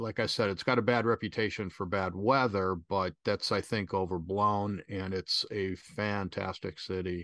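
In a plain, everyday voice with an American accent, a man talks at a moderate pace with hardly any pauses, fairly low in pitch and fairly even in intonation, the sound dry and close with no echo over a quiet background. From US Midwest (Chicago). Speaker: travel photographer and photography instructor. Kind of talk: interview.

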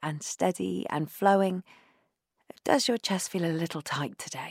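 In a very clean recording with a silent background and a dry, close sound with no echo, a woman with a plain, everyday voice speaks at a fairly slow pace and medium pitch, with ordinary pitch variation. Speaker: meditation guide. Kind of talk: guided breathwork meditation. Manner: slow, gentle, soothing; soft-spoken, calm, unhurried with long pauses.

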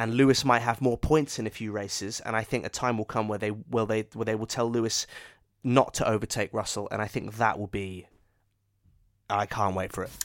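An ordinary speaking voice, this man talks at a medium pitch and a fairly quick pace. The intonation is fairly even, and the recording is very clean with a silent background. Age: 30s. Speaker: podcast co-host. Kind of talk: casual chat.

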